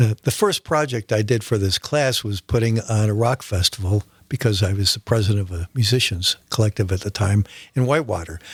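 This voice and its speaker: In a dry, close sound with no echo, a man with a fairly low pitch and a somewhat breathy voice talks at a fairly quick pace. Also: ordinary pitch variation, very clean recording, silent background. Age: 70s. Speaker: photographer and musician. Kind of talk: radio interview. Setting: radio studio. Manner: halting.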